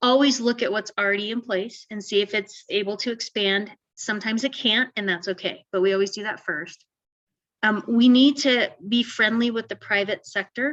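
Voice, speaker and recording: Here a woman speaks in a fairly high pitch. Her intonation is fairly even. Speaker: housing consultant. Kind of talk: webinar presentation. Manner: fast.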